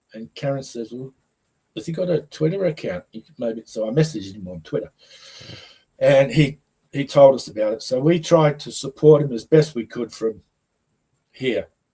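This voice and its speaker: With lively intonation and a dark, mellow tone, a man talks in a fairly high, somewhat breathy voice, leaving long, frequent pauses. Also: moderate pace. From Leeds, northern England. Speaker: football fan. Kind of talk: casual chat.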